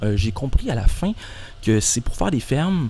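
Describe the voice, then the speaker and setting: A man speaks with a Quebec accent and ordinary pitch variation. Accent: Québécois French. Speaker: YouTuber. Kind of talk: monologue. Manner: fast; halting.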